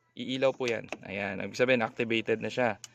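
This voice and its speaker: A man's medium-pitched voice in a dry, close sound with no echo. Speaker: motorcycle hobby vlogger. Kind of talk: tutorial; voice-over narration. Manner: casual, filler-heavy; soft-spoken on camera.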